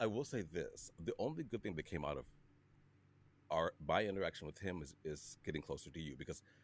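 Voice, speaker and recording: A man with an American accent talks at a fairly quick pace, his pitch very deep and low. His voice has vocal fry and lively intonation. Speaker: podcast host. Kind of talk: casual chat. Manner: animated.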